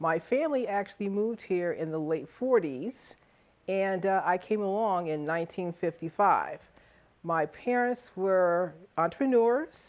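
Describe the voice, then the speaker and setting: With a plain, everyday voice, a woman talks at a moderate pace in a medium pitch with ordinary pitch variation against a quiet background. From Stamford, Connecticut (US Northeast). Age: 60s. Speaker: charter revision commission member. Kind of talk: testimonial interview. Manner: conversational with filler words.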